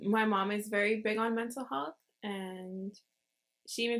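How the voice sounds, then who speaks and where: Fairly even intonation marks an unremarkable speaking voice, captured in a very clean recording with a silent background. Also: woman. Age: young. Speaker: college student. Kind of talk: casual podcast conversation.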